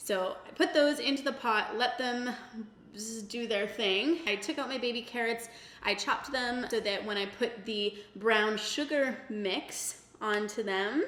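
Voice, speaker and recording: Over noticeable background noise, a woman speaks at a fairly slow pace with a fairly high pitch and ordinary pitch variation. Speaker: cooking vlogger. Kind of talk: casual talk to camera. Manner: casual, chatty.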